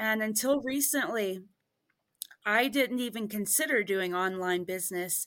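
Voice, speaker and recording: A woman speaks at a fairly slow pace with ordinary pitch variation. Her pitch is fairly high. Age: 40s. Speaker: house cleaner and online business owner. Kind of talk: interview. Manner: halting, many fillers.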